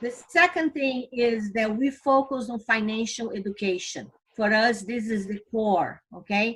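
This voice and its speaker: The delivery is at a fairly slow pace. Pitch variation is ordinary. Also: woman. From Brazil. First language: Portuguese. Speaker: financial company vice president. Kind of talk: recruitment presentation. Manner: enthusiastic.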